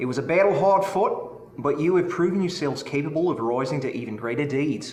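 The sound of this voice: In a room with audible echo, a man talks at a fairly quick pace with a fairly high pitch and lively intonation.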